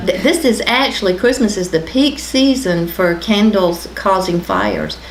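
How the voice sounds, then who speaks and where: A medium-pitched woman with an American accent at a moderate pace, with audible room echo and noticeable background noise. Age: 50s. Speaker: county official giving fire safety tips. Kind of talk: local TV talk show interview.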